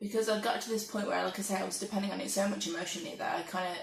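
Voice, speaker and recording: A woman speaks with an English accent and fairly even intonation. The room echo is audible. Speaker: vlogger. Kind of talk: casual monologue. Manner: soft-spoken.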